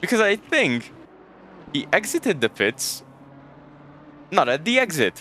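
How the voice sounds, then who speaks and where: With a raised, projected voice, a high-pitched man speaks at a fairly slow pace with very wide pitch swings and long, frequent pauses, in a dry, close sound with no echo. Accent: Hungarian. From Hungary. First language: Hungarian. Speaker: sim racing commentator. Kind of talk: live commentary. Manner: casual, halting.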